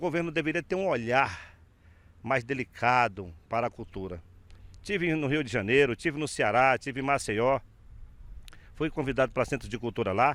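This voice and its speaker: A man's medium-pitched voice at a moderate pace, with lively intonation and long, frequent pauses, on a very clean recording with a silent background. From Brazil, Acre (Rio Branco). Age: 60s. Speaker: filmmaker. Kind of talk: interview. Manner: halting.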